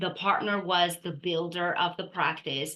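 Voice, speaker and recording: In a flat monotone, a woman with a non-native accent speaks at a fairly low pitch with a bright, sharp tone. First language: not English. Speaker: dental practice consultant. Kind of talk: podcast interview.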